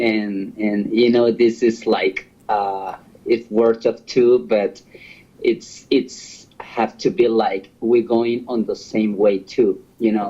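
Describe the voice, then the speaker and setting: A man with a Spanish accent speaks at a very slow pace. His pitch is medium and his intonation fairly even. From Honduras. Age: 40s. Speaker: host's partner. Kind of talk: casual chat. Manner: halting.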